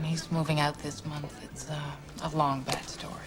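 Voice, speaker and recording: A woman with a Dutch accent speaks at a moderate pace with fairly even intonation over noticeable background noise. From Netherlands. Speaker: actress. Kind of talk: film dialogue.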